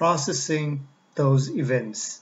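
Very slowly, a man speaks. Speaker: lecturer. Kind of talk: lecture. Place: home room. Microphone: webcam.

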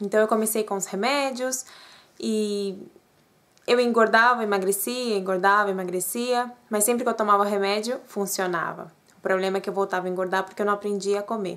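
A fairly quick delivery with fairly even intonation. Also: woman, medium pitch for a woman. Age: 30s. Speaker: vlogger. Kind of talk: personal vlog testimony. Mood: personal, earnest. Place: home room. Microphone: webcam.

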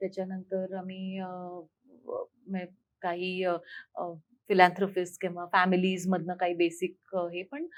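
A woman speaks with a Hindi accent at a medium pitch. Her intonation is monotone and flat, while her loudness swings widely. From Amravati, Maharashtra, India. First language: Hindi (speaking Marathi). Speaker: foundation founder and parenting coach. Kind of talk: interview.

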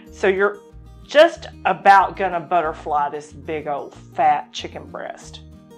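Very slow speech with faint music in the background. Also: woman. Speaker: cooking show host. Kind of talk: tutorial. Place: home room. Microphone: lapel.

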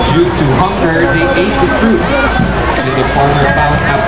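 The delivery is at a fairly slow pace. Loud music plays in the background. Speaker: event announcer. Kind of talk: announcement narration. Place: street.

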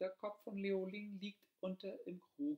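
A man at a very slow pace. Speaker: audiobook narrator. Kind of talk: fairy tale storytelling, reading aloud. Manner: calm, measured storyteller's narration, with soft, sorrowful tone in sad passages.

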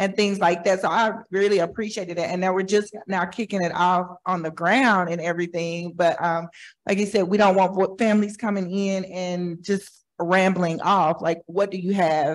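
A woman speaks with an American accent at a moderate pace. Her intonation stays monotone and flat. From Oklahoma City. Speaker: community partner. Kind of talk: audience comment. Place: hall.

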